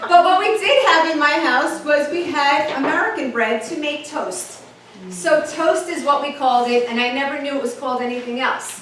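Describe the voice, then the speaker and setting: A woman with a New York accent sounds animated at a high pitch with ordinary pitch variation. She keeps a moderate pace over noticeable background noise. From New York, the Bronx. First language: Italian. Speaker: motivational speaker. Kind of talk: keynote talk.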